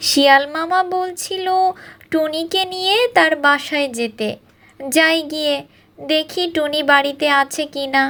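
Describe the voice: A cartoonish character voice, high-pitched and fairly slow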